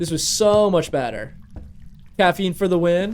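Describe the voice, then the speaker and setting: A man at a fairly slow pace. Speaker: gaming streamer. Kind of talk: live gameplay stream chat. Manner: animated.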